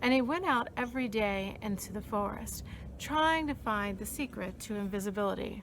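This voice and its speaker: A woman in a normal speaking voice talks at a moderate pace, her fairly high pitch rising and falling with lively intonation. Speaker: storyteller. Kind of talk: children's storytelling.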